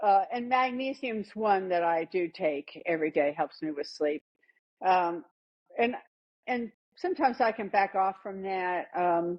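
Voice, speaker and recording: Here a woman speaks with an American accent at a medium pitch. Her intonation is lively and her pace fairly slow. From US Northeast (northern New Jersey). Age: 60s. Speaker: health testimony guest. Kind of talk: interview testimony. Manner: halting, many fillers.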